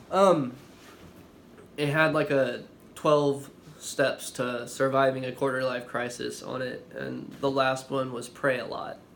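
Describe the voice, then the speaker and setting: A man's medium-pitched, flat, monotone delivery at a very slow pace, with audible room echo. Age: 20s. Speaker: vlogger. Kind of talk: testimony. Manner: halting, with pauses and stammering.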